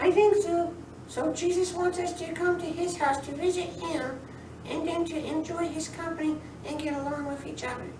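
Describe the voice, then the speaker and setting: Cartoonish character voice, female-sounding and extremely high in pitch, at a moderate pace with slight echo and loud background noise. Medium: puppet.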